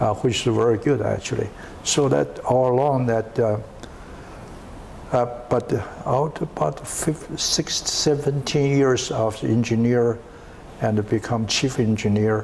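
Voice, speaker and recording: With a non-native accent, a man speaks at a medium pitch and a fairly slow pace, using long, frequent pauses, very even loudness and ordinary pitch variation over noticeable background noise. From China. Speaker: entrepreneur. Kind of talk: interview. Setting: at home. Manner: halting.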